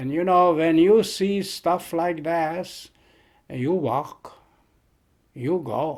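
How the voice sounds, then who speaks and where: A man speaks at a very slow pace, leaving long, frequent pauses. His pitch is high, with ordinary variation. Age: 80s+. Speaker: elderly survivor telling life story. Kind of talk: oral history interview. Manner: halting, repeating words.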